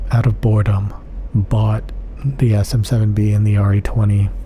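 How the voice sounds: Little pitch movement marks this dark, mellow tone delivered at a moderate pace. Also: man.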